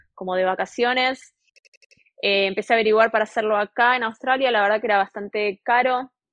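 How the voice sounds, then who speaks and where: This woman has an ordinary speaking voice, fairly high in pitch, with fairly even intonation. She talks at a fairly quick pace. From Argentina, Buenos Aires. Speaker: railway worker, former chef. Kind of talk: interview.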